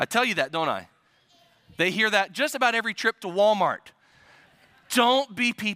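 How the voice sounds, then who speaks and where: A man with an American accent projects his raised voice in a high pitch and a bright, sharp tone. He leaves long, frequent pauses. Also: ordinary pitch variation, moderate pace. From US Midwest. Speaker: pastor. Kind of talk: sermon.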